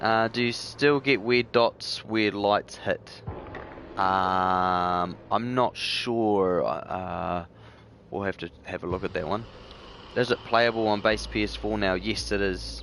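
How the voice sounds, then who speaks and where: At a very slow pace, the speaker talks with a New Zealand accent and ordinary pitch variation. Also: man, fairly low pitch for a man. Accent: New Zealand accent, noticeable to viewers. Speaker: gaming streamer. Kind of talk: live gameplay stream, reading chat. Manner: casual, many filler words.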